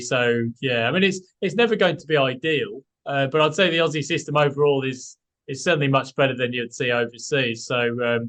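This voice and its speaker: With a British accent, a man talks at a fairly quick pace against a quiet background. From UK. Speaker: property buyer's agent. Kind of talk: casual interview chat. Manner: hesitant, many fillers.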